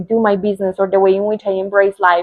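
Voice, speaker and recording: A woman with a Spanish accent talks at a fairly quick pace and medium pitch, in a monotone, flat intonation. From Colombia. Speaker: spiritual coach. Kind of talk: personal talk to camera. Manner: heartfelt, unscripted.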